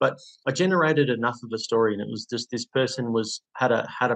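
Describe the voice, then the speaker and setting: Speaking with an Australian accent, a man uses a medium pitch. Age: 30s. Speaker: former prisoner turned property investor and coach. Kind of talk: interview, personal story.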